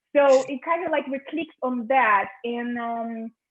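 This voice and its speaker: A woman with a non-native accent speaks at a fairly slow pace. Her pitch is fairly high, with ordinary pitch variation. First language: not English. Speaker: film director. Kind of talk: interview. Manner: halting, many fillers and repetitions.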